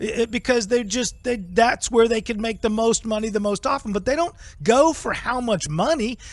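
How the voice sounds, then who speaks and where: With music playing behind him, a man talks in an animated tone at an extremely high pitch, his pitch varying in an ordinary way. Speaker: political talk show host. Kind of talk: political talk show discussion. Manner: fast.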